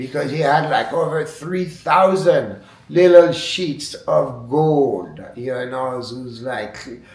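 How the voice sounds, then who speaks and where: A fairly high-pitched man with a French accent at a very slow pace, with audible room echo and noticeable background noise. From France. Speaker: wood sculptor. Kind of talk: interview monologue. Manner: halting.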